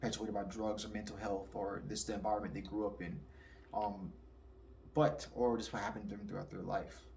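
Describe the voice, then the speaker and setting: A man with a fairly low pitch and vocal fry talks at a very fast pace amid audible room echo. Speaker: spirituality commentator. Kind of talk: casual monologue.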